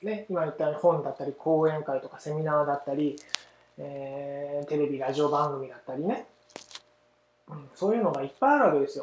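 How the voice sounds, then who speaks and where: An unremarkable speaking voice from a man, fairly high-pitched, at a fairly quick pace, with ordinary pitch variation and big swings in loudness. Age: 30s. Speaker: parenting podcast host. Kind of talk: casual solo talk; scripted outro.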